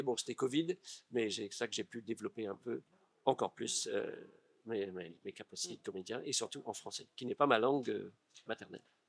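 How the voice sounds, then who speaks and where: The speaker talks fairly quickly with an English accent and ordinary pitch variation. The sound is dry and close, with no echo. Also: man. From California, US. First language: English (speaking French). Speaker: actor and stage director. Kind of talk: interview. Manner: halting.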